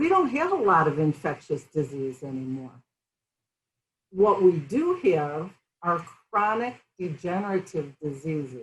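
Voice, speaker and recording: A somewhat breathy woman's voice, fairly slow in pace. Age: 60s. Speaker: functional medicine health practitioner. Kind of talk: casual chat. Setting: interview over tea.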